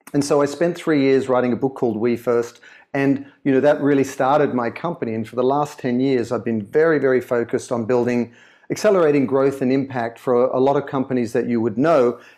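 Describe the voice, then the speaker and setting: A man with an Australian accent, a dark, mellow tone and a fairly quick pace, over a quiet background. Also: medium pitch for a man. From Sydney, Australia. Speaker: author and brand consultant. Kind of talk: interview.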